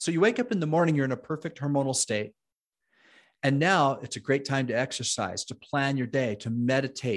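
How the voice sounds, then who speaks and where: On a very clean recording with a silent background, a man with a fairly high pitch talks at a fairly quick pace in a plain, everyday voice with ordinary pitch variation. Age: 50s. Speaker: fitness nutrition coach and health show host. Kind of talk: interview conversation.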